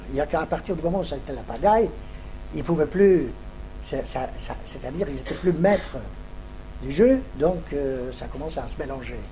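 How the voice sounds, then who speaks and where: A man at a moderate pace, with long, frequent pauses, big swings in loudness, audible room echo and music in the background. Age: 80s+. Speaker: Holocaust survivor giving testimony. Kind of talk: testimony answering school pupils' questions. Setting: classroom with pupils. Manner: halting, with many hesitations.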